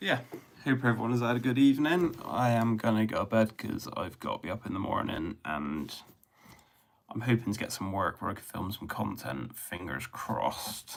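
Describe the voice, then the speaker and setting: A man with a Bristol accent speaks in a relaxed tone at a moderate pace, his medium-pitched voice carrying lively intonation. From England, Bristol. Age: 30s. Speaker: drain cleaning YouTuber. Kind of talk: casual livestream chat. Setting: live stream at home. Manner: relaxed, rambling.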